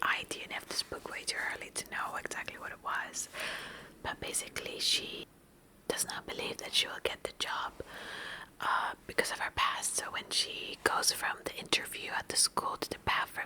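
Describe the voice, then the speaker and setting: Noticeable background noise sits under a woman whispering. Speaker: ASMR book vlogger. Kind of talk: soft-spoken ASMR book recap. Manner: soft-spoken, whispering.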